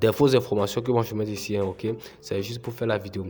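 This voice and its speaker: A man speaks while music plays in the background. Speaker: YouTuber, crypto tutorial creator. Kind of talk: tutorial. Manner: hesitant, many filler sounds.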